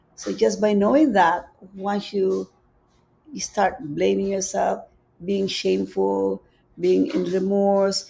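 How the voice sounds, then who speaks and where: The speaker has a Filipino accent. The pace is fairly slow. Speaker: spiritual teacher. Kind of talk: live-streamed spiritual talk. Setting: live stream on social media.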